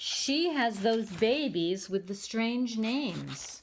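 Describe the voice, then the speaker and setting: A put-on character voice, female-sounding and fairly high in pitch, at a very slow pace. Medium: read story. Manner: courteous, genteel.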